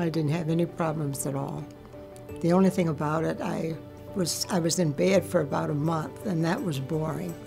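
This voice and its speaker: A woman's very deep, low voice at a moderate pace, with ordinary pitch variation and music in the background. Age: 80s+. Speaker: bladder cancer survivor. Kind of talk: interview answer.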